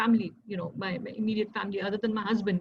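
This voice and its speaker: A woman's fairly high, somewhat breathy voice with an Indian accent. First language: Hindi. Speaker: civil servant and mental health advocate. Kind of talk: talk sharing lived experience. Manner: hesitant, many fillers.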